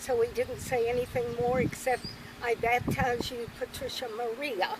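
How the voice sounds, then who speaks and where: Over noticeable background noise, the speaker talks at a moderate pace with monotone, flat intonation and an American accent. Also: woman, high pitch for a woman. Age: 80s+. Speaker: grandmother interviewee. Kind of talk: family interview, storytelling.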